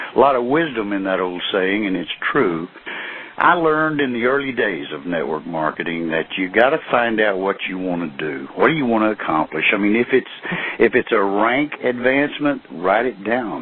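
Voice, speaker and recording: Very wide pitch swings against noticeable background noise. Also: man, fairly low pitch for a man, moderate pace. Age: 60s. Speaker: network marketing distributor. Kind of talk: conference call talk. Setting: phone call.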